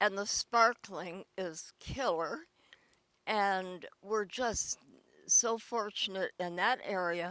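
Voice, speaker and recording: Very slowly and at a medium pitch, a woman speaks with a bright, sharp tone and ordinary pitch variation, in a very clean recording with a silent background and a dry, close sound with no echo. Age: 90s. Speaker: elderly local resident interviewed. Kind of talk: casual interview.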